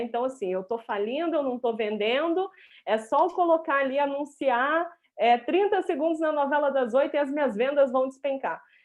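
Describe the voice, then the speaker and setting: A woman speaks with a mineiro accent. Her pitch is high and her pace moderate. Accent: mineiro accent, kept. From Minas Gerais, Brazil (Viçosa). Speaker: business strategist. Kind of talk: live stream interview. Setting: online live stream.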